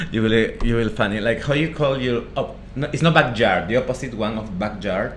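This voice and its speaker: With a Peruvian accent, a man talks at a fairly quick pace and medium pitch, with audible room echo and noticeable background noise. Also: ordinary pitch variation. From northern Peru (Trujillo, Negritos). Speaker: chef, restaurant podcast co-host. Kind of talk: casual chat.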